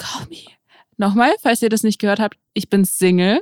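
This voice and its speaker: Here a woman speaks at a fairly high pitch. The sound is dry and close, with no echo. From St. Petersburg, Russia. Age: 20s. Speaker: podcast co-host, content creator. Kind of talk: casual chat.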